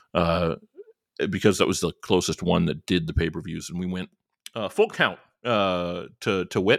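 Very deep and low, a man's voice with an American accent moves at a moderate pace with fairly even intonation. The recording is very clean with a silent background, dry and close with no echo. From US Midwest, Northwest Indiana. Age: 40s. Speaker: podcast host. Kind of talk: casual chat. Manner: halting, many fillers.

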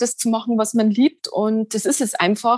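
With a Lower Bavarian accent, a woman speaks at a moderate pace in a somewhat breathy voice, the sound dry and close with no echo. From Lower Bavaria, Germany. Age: 40s. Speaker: poet and yoga practitioner. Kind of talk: interview about personal experience.

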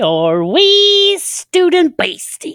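A female-sounding voice is performing a put-on character voice. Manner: playful, teasing, sing-song.

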